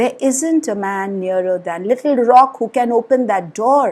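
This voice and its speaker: Putting on a character voice, a woman speaks at a fairly high pitch with lively intonation and a moderate pace. Her voice is shaky, and the recording is very clean with a silent background. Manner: shaky, anxious and helpless.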